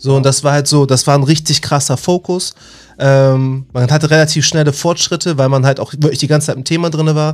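Fairly high-pitched, this man speaks at a fairly quick pace in a monotone, flat intonation. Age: 30s. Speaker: software engineering student and IT trainer. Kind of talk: casual interview. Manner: halting, many fillers.

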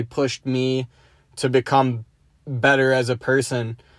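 Using an American accent, a man talks at a moderate pace and medium pitch in a monotone, flat intonation. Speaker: podcast host. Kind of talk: casual monologue. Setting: in a car.

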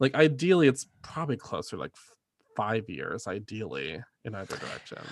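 A man with an American accent, medium pitch, vocal fry, very wide pitch swings, big swings in loudness and a moderate pace. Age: 30s. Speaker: podcast host. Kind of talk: casual chat. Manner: animated.

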